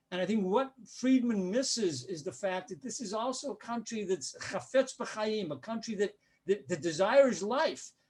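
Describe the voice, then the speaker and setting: A high-pitched man with a Denver accent, moderate pace, lively intonation and big swings in loudness. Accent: American, Denver. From US, Denver. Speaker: journalist and political analyst. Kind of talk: lecture.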